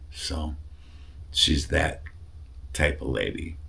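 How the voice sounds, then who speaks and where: A man with a very deep, low voice speaks in fairly even intonation, with audible room echo and noticeable background noise. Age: 60s. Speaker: cancer patient vlogger. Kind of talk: casual video update.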